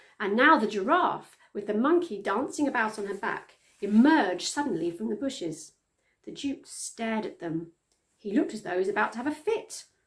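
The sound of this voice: A woman at a fairly high pitch, with lively intonation and a moderate pace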